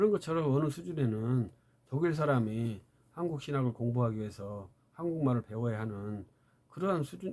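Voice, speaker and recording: A medium-pitched man's voice at a fairly quick pace, with very wide pitch swings. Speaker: theology lecturer. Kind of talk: lecture.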